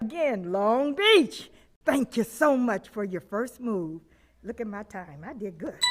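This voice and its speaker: Music plays in the background as a woman with a fairly high pitch speaks at a fairly slow pace, her voice making very wide pitch swings. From Los Angeles area, California. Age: 70s. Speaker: community activist, public commenter. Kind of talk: public comment speech at school board meeting. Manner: impassioned, preacher-like.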